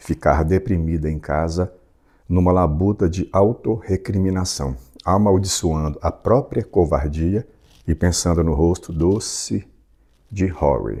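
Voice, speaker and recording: Speaking fairly slowly, a man has a very deep, low voice with a dark, mellow tone and ordinary pitch variation. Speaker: audiobook narrator. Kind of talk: reading aloud; casual chat.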